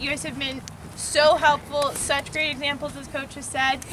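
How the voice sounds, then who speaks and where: Over music in the background, a woman projects a raised, high voice at a moderate pace. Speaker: assistant coach. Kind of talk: short speech. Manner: loud.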